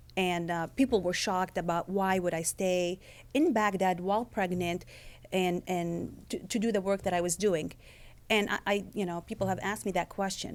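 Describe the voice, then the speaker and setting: On a very clean recording with a silent background, a woman with a slight non-native accent speaks at a moderate pace and medium pitch with fairly even intonation. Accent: slight foreign. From Lebanon. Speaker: author and former intelligence agent. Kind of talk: author talk. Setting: event with live audience.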